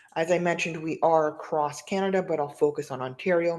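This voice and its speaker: Against a quiet background, the talking goes at a fairly quick pace. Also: woman. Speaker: nonprofit business advisor. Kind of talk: presentation. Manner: fast.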